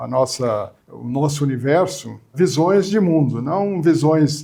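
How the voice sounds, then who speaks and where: The speech moves at a very slow pace with ordinary pitch variation. Noticeable background noise runs underneath. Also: man. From southern Brazil (Porto Alegre), raised in São Paulo (Mooca). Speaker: journalist and TV station director. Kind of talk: interview.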